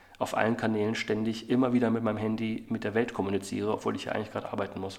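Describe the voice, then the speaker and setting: The voice carries vocal fry. It moves at a very fast pace. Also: man. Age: 40s. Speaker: agency CEO and author. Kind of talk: interview.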